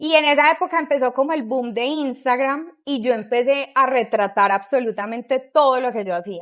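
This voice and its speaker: A woman talks in a high pitch. She leaves hardly any pauses. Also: ordinary pitch variation, moderate pace. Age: 30s. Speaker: pastry chef and bakery owner. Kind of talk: interview, casual chat.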